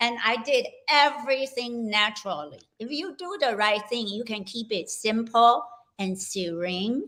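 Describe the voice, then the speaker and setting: A woman with an unremarkable speaking voice talks at a fairly slow pace, fairly high in pitch, with lively intonation and big swings in loudness. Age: 60s. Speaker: health coach. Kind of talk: interview.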